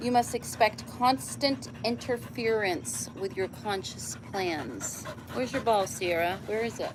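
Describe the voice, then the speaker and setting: A woman with a medium pitch talks at a fairly slow pace with hardly any pauses and very wide pitch swings, over noticeable background noise. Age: 70s. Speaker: livestreamer reading books aloud. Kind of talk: casual livestream chat; reading aloud with casual asides.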